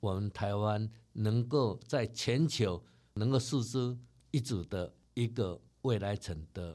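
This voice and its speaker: Very slowly, a man speaks at medium pitch. His tone is dark and mellow, with ordinary pitch variation. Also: very clean recording, silent background. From Taiwan. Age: 60s. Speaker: company chairman. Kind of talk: interview.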